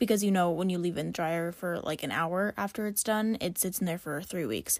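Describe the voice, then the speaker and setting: A woman's plain, everyday voice, fairly low in pitch, with ordinary pitch variation, at a fairly quick pace, on a very clean recording with a silent background. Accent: American. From Kansas, US Midwest. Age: 20s. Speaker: true crime podcaster. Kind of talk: casual chat, solo podcast. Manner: casual, chatty, rambling.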